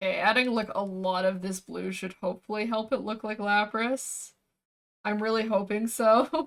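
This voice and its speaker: A woman speaks in a normal speaking voice with a Canadian accent. Her pace is moderate and her intonation fairly even. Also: fairly high pitch for a woman. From Canada. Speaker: VTuber streamer and artist. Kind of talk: casual livestream chat while drawing. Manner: relaxed, chatty.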